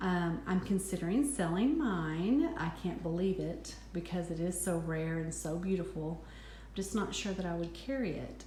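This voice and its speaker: A woman speaks with a slight West Texas accent. Audible room echo and noticeable background noise surround her. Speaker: handbag reviewer, vlogger. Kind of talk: product review. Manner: hesitant, many ums.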